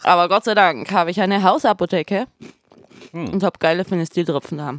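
A woman's medium-pitched voice at a moderate pace, in a dry, close sound with no echo. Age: 30s. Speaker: band member podcast host. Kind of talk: casual chat.

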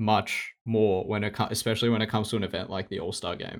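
A man's voice sits fairly low in pitch and moves along at a moderate pace. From Melbourne, Australia. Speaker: podcast host. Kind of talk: casual chat. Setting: remote recording.

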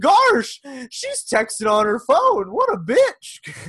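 A man uses a put-on character voice with an extremely high pitch. He speaks at a very slow pace. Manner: goofy, calming.

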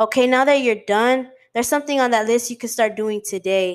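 With an unremarkable speaking voice, a woman talks at a moderate pace in a fairly high pitch. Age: 20s. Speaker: podcast host. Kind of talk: motivational monologue.

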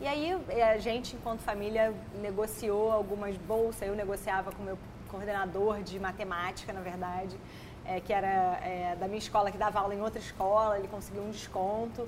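A normal speaking voice at a fairly quick pace with fairly even intonation. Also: woman, medium pitch for a woman. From Brazil, Petrópolis (Rio de Janeiro state). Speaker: emotional intelligence educator and author. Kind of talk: podcast interview. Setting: studio.

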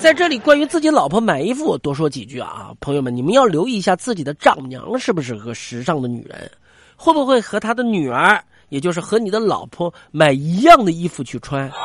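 A man with a high voice speaks at a fairly quick pace in an animated tone, his pitch swinging very widely. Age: 40s. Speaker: radio comedian. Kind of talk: comic monologue. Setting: studio.

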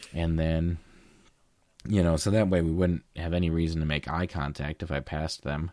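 At a moderate pace, a man talks in a very deep, low voice with a dark, mellow tone and fairly even intonation. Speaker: podcast co-host, photographer. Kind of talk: casual chat.

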